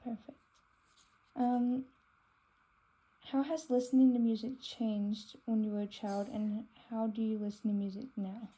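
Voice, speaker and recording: A woman with an American accent speaks at a fairly high pitch in a dark, mellow, somewhat breathy tone, with fairly even intonation and long, frequent pauses. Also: moderate pace. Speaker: student interviewer. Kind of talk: interview.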